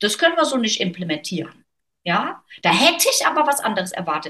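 Her voice is somewhat breathy. The woman's pitch swings very widely. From Germany, North Rhine-Westphalia. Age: 40s. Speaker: author and business consultant. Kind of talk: interview conversation.

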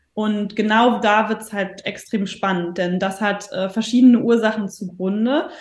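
A woman with a plain, everyday voice speaks at a fairly high pitch and a fairly slow pace, with hardly any pauses. Her intonation stays fairly even. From northern Germany. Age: 30s. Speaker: stress and mindset coach. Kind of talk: podcast interview.

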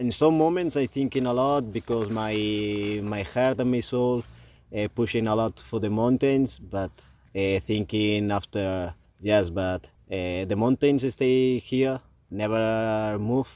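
With a Spanish accent, a man speaks at a very slow pace in a dark, mellow tone. His pitch sits at a medium level with ordinary variation. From Spain. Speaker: touring cyclist. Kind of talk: casual chat. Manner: halting.

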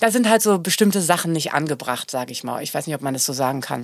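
Very wide pitch swings run through a woman's fairly quick speech. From Germany. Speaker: singer. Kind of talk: casual chat.

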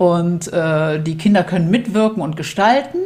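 Speaking at a fairly slow pace, a woman uses lively intonation in a somewhat breathy voice with a dark, mellow tone. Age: 50s. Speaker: school founder and coach. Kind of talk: interview conversation.

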